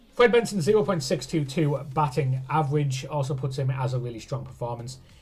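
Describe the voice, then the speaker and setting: Over music in the background, a man talks at a medium pitch and a fairly quick pace, with ordinary pitch variation. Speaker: gaming league organizer and commentator. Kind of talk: casual review commentary. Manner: fast.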